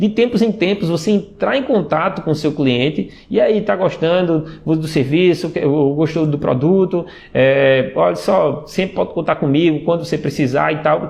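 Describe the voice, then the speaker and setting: A man speaks with a high pitch and lively intonation. His loudness stays very even throughout. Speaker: sales and WhatsApp marketing trainer. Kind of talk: live stream talk. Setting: Instagram live stream. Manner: fast; many fillers and repetitions.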